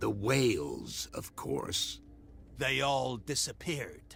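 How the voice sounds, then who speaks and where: A man performs a put-on character voice at a very slow pace. Clear background noise runs behind him. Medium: video game. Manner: sly, knowing.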